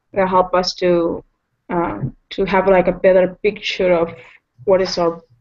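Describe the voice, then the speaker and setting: A woman with a non-native accent speaks at a medium pitch and a fairly slow pace. Her fairly even intonation carries vocal fry. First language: not English. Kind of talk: casual chat. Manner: halting.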